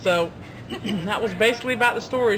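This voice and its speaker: A woman speaks with a fairly high pitch. There is noticeable background noise. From Ocracoke, Outer Banks, North Carolina. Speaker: shop worker. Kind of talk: storytelling.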